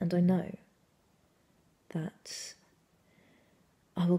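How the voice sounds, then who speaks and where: This woman's voice is dark and mellow, with a somewhat breathy quality. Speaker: actor. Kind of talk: dramatic monologue performance. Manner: intimate, confessional. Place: home room. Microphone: phone near.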